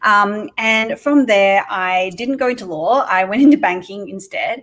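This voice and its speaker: With noticeable background noise behind her, a woman with an Australian accent speaks at a fairly slow pace, her fairly high voice lively in intonation. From Australia (Sydney). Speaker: entrepreneur. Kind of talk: podcast interview. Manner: casual, many filler words.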